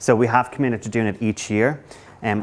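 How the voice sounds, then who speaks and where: At a fairly quick pace, a man with an Irish accent speaks at a fairly low pitch. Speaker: council economic development coordinator. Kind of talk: conference presentation. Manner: halting.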